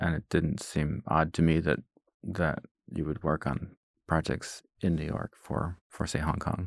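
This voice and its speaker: On a very clean recording with a silent background and a dry, close sound with no echo, the voice moves at a fairly slow pace with vocal fry and fairly even intonation. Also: man, very deep, low pitch for a man. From Colombia, rural area. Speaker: architect and educator. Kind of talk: interview conversation.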